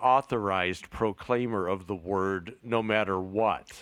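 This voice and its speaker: A man with an unremarkable speaking voice talks at a fairly slow pace in a medium pitch. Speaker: podcast co-host. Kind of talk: casual chat. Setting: remote recording.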